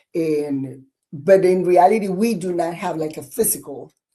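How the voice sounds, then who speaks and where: Using a fairly low voice with a dark, mellow tone, a woman speaks at a fairly slow pace with ordinary pitch variation. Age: 50s. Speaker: fitness coach and army veteran. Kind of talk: podcast interview. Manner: halting, many repeats.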